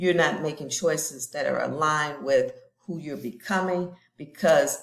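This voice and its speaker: This is a woman speaking. Her pitch is fairly low. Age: 60s. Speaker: lifestyle vlogger. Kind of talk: personal vlog monologue. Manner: casual, conversational.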